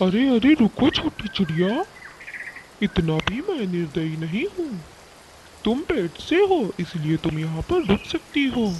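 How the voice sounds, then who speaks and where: A cartoonish character voice, fairly high in pitch, moves at a moderate pace with very wide pitch swings over clear background noise. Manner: blustering, sly.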